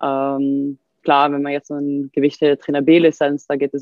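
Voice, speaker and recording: Her pitch very deep and low, a woman speaks with monotone, flat intonation. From Sweden. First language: Swedish (speaking German). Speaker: fitness coach and physiotherapist. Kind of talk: casual chat.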